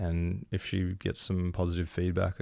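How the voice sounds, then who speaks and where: The recording is very clean, with a silent background. A man with an Australian accent speaks in a very deep, low pitch with monotone, flat intonation. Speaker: podcast co-host. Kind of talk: casual chat.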